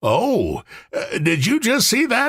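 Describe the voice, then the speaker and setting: His pitch is extremely high. The man is doing a put-on character voice. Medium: read story. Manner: slow, blank.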